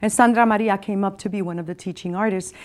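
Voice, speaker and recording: A woman of medium pitch speaking at a very fast pace. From Massachusetts (Springfield), Puerto Rican family. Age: 60s. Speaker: poet and performer. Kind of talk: poetry reading with personal commentary. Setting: studio.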